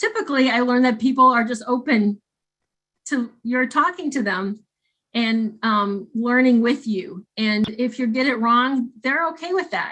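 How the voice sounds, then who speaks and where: The speech has a northern US accent and moderate pace. Pitch varies in an ordinary way over a quiet background. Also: woman. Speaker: clinical counselor and trainer. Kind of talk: training lecture. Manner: halting, many fillers and restarts.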